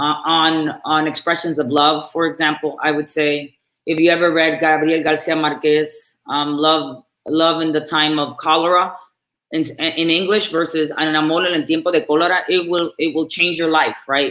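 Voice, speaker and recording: In a Spanish accent, a woman with a very deep, low pitch speaks at a moderate pace with monotone, flat intonation and very even loudness. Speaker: marketing executive, panelist. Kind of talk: panel discussion.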